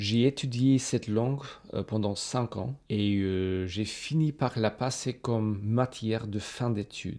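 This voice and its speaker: An English accent from a man at medium pitch, very slow and dark, mellow in tone, with ordinary pitch variation on a very clean recording with a silent background. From Australia. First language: English (speaking French). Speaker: polyglot youtuber. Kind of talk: casual personal talk to camera.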